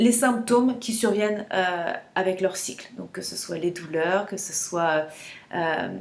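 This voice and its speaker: A woman speaks at a very slow pace. Her medium-pitched voice shows ordinary pitch variation. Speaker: menstrual cycle coach. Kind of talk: casual vlog talk to camera. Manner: hesitant, many fillers and repetitions.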